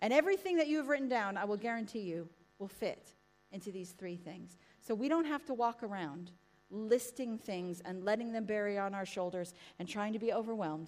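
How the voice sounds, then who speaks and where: Animated in tone, a woman with an American accent talks at a fairly quick pace and medium pitch with lively intonation. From United States. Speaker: preacher. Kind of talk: sermon. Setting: church with live congregation. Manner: animated, chatty.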